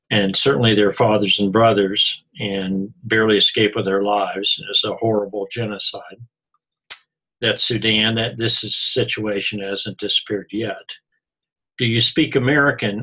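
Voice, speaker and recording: A man's bright, sharp tone comes at a fairly low pitch and a moderate pace. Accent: Oklahoma. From Missouri, US. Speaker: college instructor. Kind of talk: recorded lecture. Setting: online class recording.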